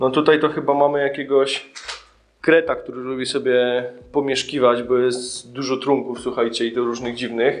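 Flat, monotone intonation runs through this man's speech. He keeps a moderate pace. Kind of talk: casual vlog chat. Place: empty room. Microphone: phone near.

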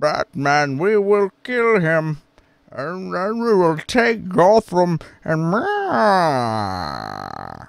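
A man speaks in a put-on character voice, pitched high with lively intonation. His pace is very slow. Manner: menacing, with cat-like meows.

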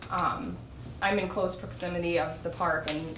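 A woman's fairly low voice with fairly even intonation amid noticeable background noise. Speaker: resident addressing council. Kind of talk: public comment. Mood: earnest, slightly nervous. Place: hall. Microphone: camera far.

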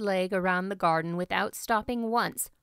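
The delivery is an unforced reading voice with ordinary pitch variation.

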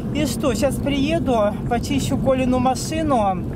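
The sound is dry with no echo. Loud background noise runs underneath. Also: woman. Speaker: driver vlogger. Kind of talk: casual vlog chat. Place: car. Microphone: phone near.

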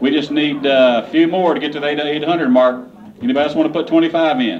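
A man talks at a very fast pace with a fairly high pitch and ordinary pitch variation. Light background noise is present. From Kentucky. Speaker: auctioneer. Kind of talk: casual fundraising appeal to a crowd. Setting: live charity auction event. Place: hall. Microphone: handheld.

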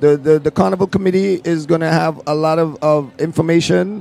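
In an unremarkable speaking voice, a man talks at a moderate pace with a fairly high pitch, the sound dry with no echo. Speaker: video host. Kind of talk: casual interview. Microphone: handheld.

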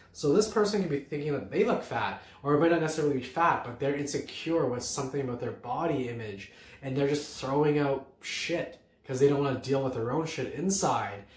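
Strong room echo surrounds a man at a medium pitch. He talks at a fairly quick pace with lively intonation.

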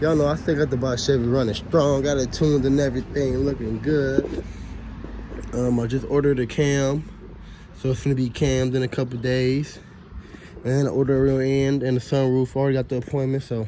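At a fairly quick pace, the speech comes in a flat monotone with very even loudness, dry with no echo and with light background noise. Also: man. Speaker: car mechanic vlogger. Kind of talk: casual vlog chat. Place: street. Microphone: phone near.

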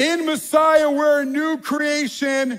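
Speaking with a New York accent, a man holds an extremely high pitch with little movement and a fairly bright tone. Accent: New York American.

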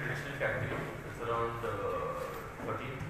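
Amid noticeable background noise and strong room echo, a man speaks at a moderate pace. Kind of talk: press briefing. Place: hall.

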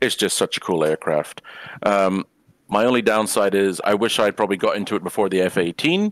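This is an unremarkable speaking voice with fairly even intonation. The recording is very clean and dry, close with no echo and a silent background. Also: man. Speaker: flight sim panel member. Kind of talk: casual panel chat.

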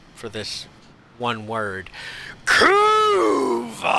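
A man is speaking. The recording has audible room echo and noticeable background noise. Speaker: gamer streaming with a friend. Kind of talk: casual gaming chat.

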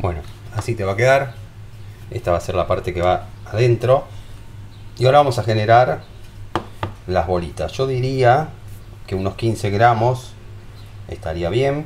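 A man speaks with a Rioplatense accent, leaving long, frequent pauses. There is light background noise. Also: medium pitch for a man, ordinary pitch variation, moderate pace. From Argentina. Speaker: home cooking youtuber. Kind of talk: cooking tutorial. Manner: animated. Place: kitchen. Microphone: camera far.

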